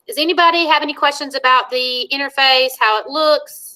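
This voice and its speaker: In a raised, projected voice, the speaker uses lively intonation and a bright, sharp tone. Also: woman. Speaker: school technology trainer. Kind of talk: online staff training. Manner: fast.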